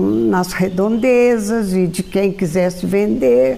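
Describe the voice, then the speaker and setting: Amid noticeable background noise, a woman speaks very slowly with very wide pitch swings. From rural Minas Gerais, Brazil. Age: 80s+. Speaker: retired teacher and pharmacist. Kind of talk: oral history interview. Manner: halting.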